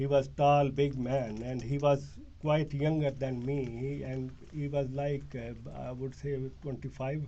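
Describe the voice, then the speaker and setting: Speaking at a fairly slow pace, a man with a medium pitch and a dark, mellow tone sounds somewhat breathy, his intonation monotone and flat. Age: 60s. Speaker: detainee in police interview. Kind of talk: police interview statement. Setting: police interview room. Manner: halting, many fillers.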